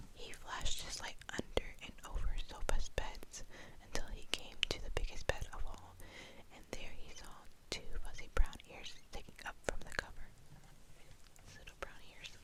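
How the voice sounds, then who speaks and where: Someone whispers at a moderate pace with long, frequent pauses. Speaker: ASMR creator. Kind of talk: reading aloud. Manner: whispering.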